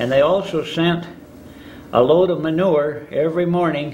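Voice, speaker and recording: Heard with audible room echo, a man in an Upper Midwest accent speaks at a fairly slow pace with a fairly high pitch and ordinary pitch variation. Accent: Upper Midwest American. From northern Michigan (Charlevoix). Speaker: local elder recounting town history. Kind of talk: oral history interview. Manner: halting, many filler words.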